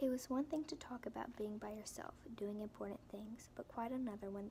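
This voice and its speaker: Soft-spoken, a woman with a fairly high pitch and ordinary pitch variation talks with hardly any pauses. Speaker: ASMR reader. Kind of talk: audiobook reading for relaxation. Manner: soft-spoken, whispered.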